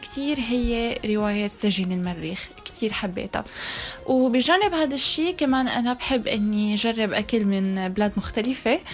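A woman speaks at a fairly slow pace in a high pitch, her intonation lively. Noticeable background noise runs behind her. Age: 20s. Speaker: choir leader. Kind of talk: casual chat.

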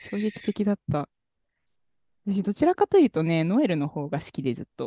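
The voice moves at a fairly quick pace with big pitch swings and a dark, mellow tone. The sound is dry and close, without echo. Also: woman, fairly low pitch for a woman.

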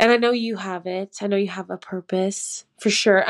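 A woman with an ordinary speaking voice, medium pitch and a Canadian accent, fairly even intonation at a moderate pace, in a very clean recording with a silent background and a dry, close sound with no echo. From Canada, near Toronto. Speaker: pastry chef and farmer. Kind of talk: casual chat.

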